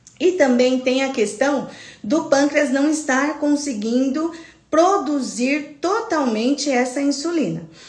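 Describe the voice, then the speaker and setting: In a room with audible echo, a woman speaks very slowly with a high pitch and ordinary pitch variation. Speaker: nurse teaching a health class. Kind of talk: live online lecture. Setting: livestream. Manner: animated.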